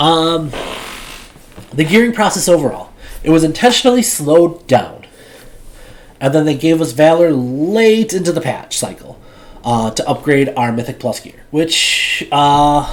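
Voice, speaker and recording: Amid noticeable background noise, a man with a fairly high pitch speaks with lively intonation and long, frequent pauses. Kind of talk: casual video game commentary. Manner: hesitant, many filler words.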